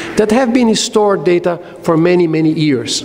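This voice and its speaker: Lively intonation at a moderate pace comes through noticeable background noise and audible room echo. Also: man. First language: Spanish. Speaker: technology executive, keynote speaker. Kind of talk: conference keynote. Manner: hesitant, many fillers.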